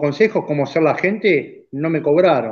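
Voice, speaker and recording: This is a normal speaking voice. The intonation is lively. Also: man. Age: 50s. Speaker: racing driver and car builder. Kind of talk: casual chat.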